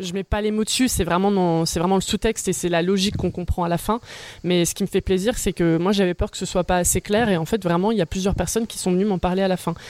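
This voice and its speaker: A woman's normal speaking voice at medium pitch, with fairly even intonation and a dry, close sound with no echo. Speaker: stage performer. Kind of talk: casual chat.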